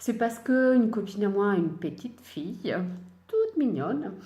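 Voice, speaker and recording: There is audible room echo as a woman speaks. Her pace is fairly slow and her intonation lively. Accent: Italian. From Italy. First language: Italian (speaking French). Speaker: sewing and knitting podcaster. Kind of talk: casual chat. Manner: hesitant, many fillers.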